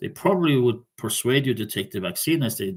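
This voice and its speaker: A man with a Norwegian accent speaks at a medium pitch and sounds somewhat breathy. The recording is very clean, with a silent background. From Norway. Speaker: vlogger. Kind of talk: casual monologue. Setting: recording on laptop at home. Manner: halting. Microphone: laptop mic.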